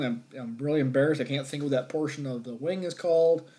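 In a plain, everyday voice, a man speaks at a fairly high pitch with ordinary pitch variation. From Northern New York. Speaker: podcast host, wildlife management. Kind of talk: solo podcast talk, gear tutorial. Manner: many filler words (um, uh).

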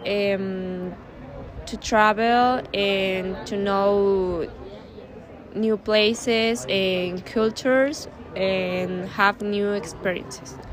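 A woman with a Spanish accent speaks very slowly, her pitch medium and her pitch variation ordinary. The room has audible echo. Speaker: student. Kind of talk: interview. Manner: halting, hesitant.

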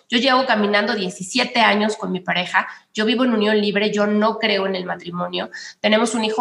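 A woman speaks with a Mexican accent. Her pitch is fairly high and her pace moderate. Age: 40s. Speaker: political communication consultant. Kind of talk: casual interview. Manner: animated.

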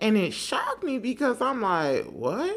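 Her pitch swings very widely. The woman speaks at a fairly slow pace. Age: 30s. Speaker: podcast host. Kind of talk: unscripted faith-based monologue. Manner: unscripted, occasional pauses and rewording.

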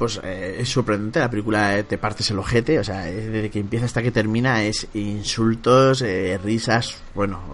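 Over noticeable background noise, a man with a medium pitch talks at a fairly slow pace with fairly even intonation. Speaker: podcast host. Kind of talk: casual chat. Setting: video call.

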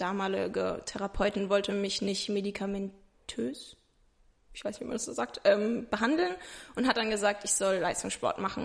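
A woman of medium pitch speaks with vocal fry and ordinary pitch variation. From Rhineland-Palatinate, Germany (Ingelheim near Mainz). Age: 20s. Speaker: interview guest sharing mental health experience. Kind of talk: casual interview. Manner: hesitant, many fillers.

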